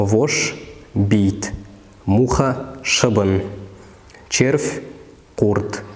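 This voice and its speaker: The voice moves at a very slow pace with fairly even intonation, and there is noticeable background noise. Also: man. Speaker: word-list narrator. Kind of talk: educational vocabulary list reading. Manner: slow, clear.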